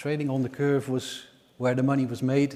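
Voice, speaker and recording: In a Dutch accent, a man speaks at a medium pitch with a dark, mellow tone. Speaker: energy market analyst. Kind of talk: conference presentation. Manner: hesitant, many fillers.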